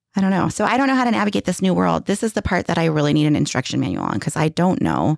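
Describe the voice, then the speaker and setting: The speech runs at a very fast pace with hardly any pauses, very wide pitch swings and vocal fry. The sound is dry and close, with no echo. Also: woman, fairly low pitch for a woman. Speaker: podcast co-host, parent. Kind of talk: casual chat.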